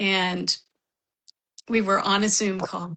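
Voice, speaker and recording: Her tone bright and sharp, a woman speaks with fairly even intonation. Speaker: author, writing professor and bipolar advocate. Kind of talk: interview testimony.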